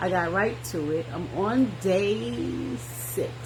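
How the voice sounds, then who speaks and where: A soft-spoken woman is heard over noticeable background noise with audible room echo. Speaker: wellness vlogger. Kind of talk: personal vlog monologue. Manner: hesitant, with fillers.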